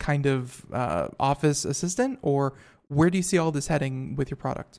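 A man's fairly high, normal speaking voice at a moderate pace, with ordinary pitch variation. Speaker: radio talk show host. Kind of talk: radio tech talk show. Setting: studio. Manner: filler-heavy, casual with many uh and you know.

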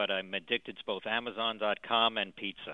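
A man speaks at a moderate pace with an unremarkable speaking voice, medium in pitch, his intonation fairly even. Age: 50s. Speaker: attorney calling in with a health question. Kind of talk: radio call-in. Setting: phone call from his office.

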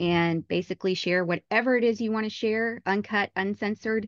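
A woman speaks fairly quickly at medium pitch, with fairly even intonation and a plain, everyday voice. The sound is dry and close with no echo, over a quiet background. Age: 30s. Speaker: podcast host. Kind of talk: interview.

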